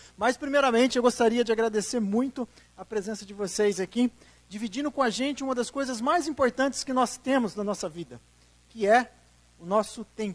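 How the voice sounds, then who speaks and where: An extremely high-pitched man speaks in an animated tone with ordinary pitch variation and a São Paulo interior accent. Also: fairly quick pace. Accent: Campinas accent, noticeable to local audience. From Brazil, Campinas, interior of São Paulo. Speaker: tourism development consultant. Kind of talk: public presentation. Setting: auditorium with audience.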